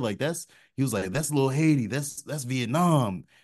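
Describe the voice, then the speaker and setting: A man with an ordinary speaking voice talks at a moderate pace with ordinary pitch variation. The background is quiet. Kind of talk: casual chat. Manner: relaxed, chatty.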